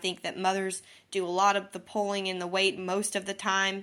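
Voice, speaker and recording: A woman talks with a slight Southern US accent. Her voice is medium in pitch with a bright, sharp tone. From Missouri. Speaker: podcast host. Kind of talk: casual monologue. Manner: chatty, lots of fillers.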